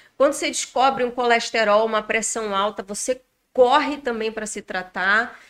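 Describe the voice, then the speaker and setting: A plain, everyday voice from a woman, at a moderate pace with a fairly high pitch and ordinary pitch variation. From Rondônia, Brazil. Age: 40s. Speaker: bariatric surgery patient. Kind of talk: podcast interview.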